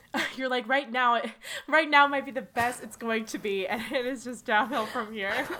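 Against noticeable background noise, a woman speaks at a high pitch and moderate pace, with ordinary pitch variation and big swings in loudness. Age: 20s. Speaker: podcast co-host. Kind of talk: casual chat.

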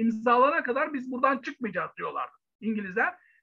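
In a raised, projected voice, a man speaks at a moderate pace with an extremely high pitch. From Turkey, Bursa. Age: 50s. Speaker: historian. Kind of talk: interview. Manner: halting, many fillers.

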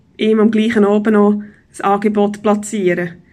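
Somewhat breathy and fairly high-pitched, a woman speaks at a moderate pace. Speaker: business consultant and podcast host. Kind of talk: solo podcast monologue.

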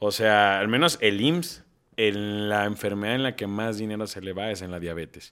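An ordinary speaking voice from a man, fairly low in pitch, at a moderate pace, with ordinary pitch variation and big swings in loudness. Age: 30s. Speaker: podcast co-host. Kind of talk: casual chat.

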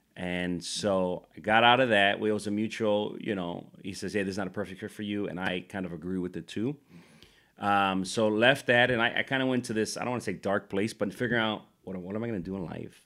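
Fairly low in pitch, a man talks at a fairly quick pace in an unremarkable speaking voice. His intonation stays fairly even. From Chicago, Puerto Rican community. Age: 30s. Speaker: nonprofit leader. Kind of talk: casual interview.

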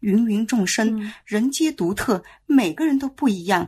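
A woman speaks with very wide swings in pitch. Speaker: children's educator. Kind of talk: casual chat.

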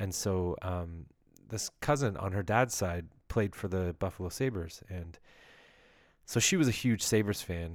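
In a very clean recording with a silent background, a man with a Canadian accent speaks in a very deep, low voice at a fairly slow pace, using ordinary pitch variation and long, frequent pauses. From Ontario, Canada. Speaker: sports podcast host. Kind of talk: solo monologue podcast. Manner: halting, many fillers.

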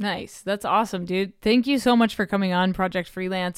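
In an ordinary speaking voice, a woman with an American accent talks at a fairly quick pace with fairly even intonation. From Oklahoma, US. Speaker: podcast host. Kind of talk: show intro and outro; casual interview chat. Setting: remote recording with poor Wi-Fi.

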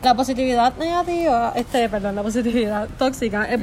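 Ordinary pitch variation at a moderate pace. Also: woman. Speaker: psychology student. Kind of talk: casual explanation. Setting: friend's house.

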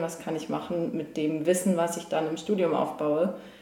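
Both noticeable background noise and audible room echo are present. The woman's pitch varies in an ordinary way. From northern Germany, near Lübeck. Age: 20s. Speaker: engineering student. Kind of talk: casual interview.

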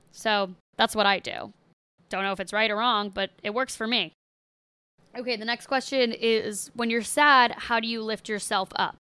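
Speaking at a moderate pace in an American accent, a woman has a fairly high pitch and a bright, sharp tone. Her intonation is fairly even, and the recording is very clean with a silent background. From US Northeast, outside Boston, Massachusetts. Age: 20s. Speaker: podcast host. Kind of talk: casual solo monologue.

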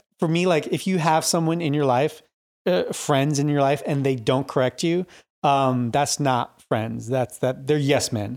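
A man in an ordinary speaking voice talks at a fairly slow pace, with fairly high pitch, ordinary pitch variation and very even loudness, on a very clean recording with a silent background. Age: 30s. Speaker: church youth minister. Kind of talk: casual chat.

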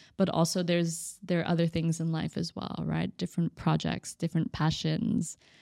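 A woman with an American accent speaks at a fairly low pitch and moderate pace in a dark, mellow tone, the sound dry and close with no echo on a very clean recording with a silent background. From Texas (Austin). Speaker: entrepreneur. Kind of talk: casual interview.

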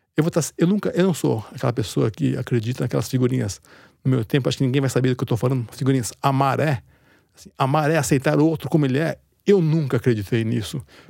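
A man speaks very fast at medium pitch, his dark, mellow tone carrying lively intonation. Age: 50s. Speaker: writer and editor. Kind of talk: interview.

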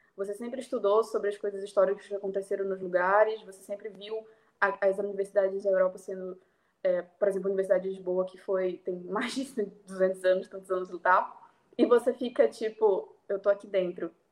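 A woman at medium pitch, monotone and flat, at a fairly quick pace with big swings in loudness. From Brazil, Belém (Pará). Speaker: international relations student. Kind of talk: interview.

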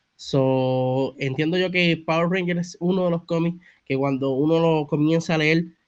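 A man with a Puerto Rican accent and a fairly high pitch speaks at a fairly slow pace with fairly even intonation. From Puerto Rico (Bayamón). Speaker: comics content creator. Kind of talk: casual interview chat.

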